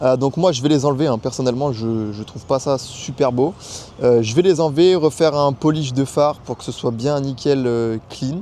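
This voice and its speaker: Over noticeable background noise, a man speaks at a medium pitch and a moderate pace with ordinary pitch variation. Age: 20s. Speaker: car YouTuber. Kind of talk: casual car review vlog. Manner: hesitant, many fillers.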